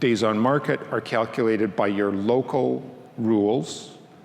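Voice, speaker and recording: Audible room echo and noticeable background noise accompany a man speaking. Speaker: workgroup chair presenting at a conference. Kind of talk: conference presentation.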